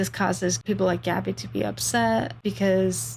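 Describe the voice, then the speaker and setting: Her voice very deep and low with vocal fry, a woman speaks at a fairly slow pace while her pitch swings very widely. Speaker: book review youtuber. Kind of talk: book review monologue.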